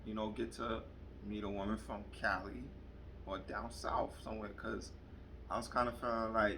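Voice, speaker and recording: A man with a New York accent speaks at a moderate pace in a fairly low pitch with vocal fry, leaving long, frequent pauses amid audible room echo. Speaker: vlogger. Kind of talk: casual chat. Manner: animated.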